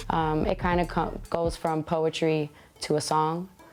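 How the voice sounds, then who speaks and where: Music plays in the background. A woman with an American accent speaks at a very deep, low pitch. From Brooklyn, New York, Albanian family. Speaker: singer. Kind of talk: interview answers.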